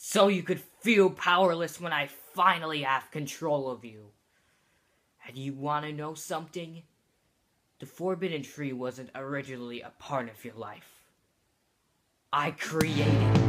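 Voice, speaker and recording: At a moderate pace, a man with a fairly high pitch talks, leaving long, frequent pauses. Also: ordinary pitch variation. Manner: menacing, taunting.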